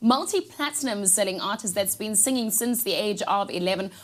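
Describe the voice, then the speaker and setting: A woman speaks in a South African accent. Her intonation is lively and her pace moderate. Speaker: TV breakfast show presenter. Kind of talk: casual chat. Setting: studio.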